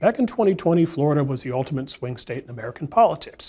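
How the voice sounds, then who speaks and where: Somewhat breathy and dark, mellow in tone, a man's fairly high voice races along at a very fast pace. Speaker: moderator. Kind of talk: panel discussion. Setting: studio. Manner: fast talker.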